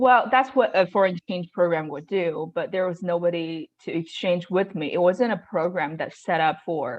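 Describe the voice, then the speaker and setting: A woman with a Chinese accent speaks at a fairly low pitch with ordinary pitch variation. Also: moderate pace, hardly any pauses. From China. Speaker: real estate investor. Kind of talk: interview. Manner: halting, many fillers.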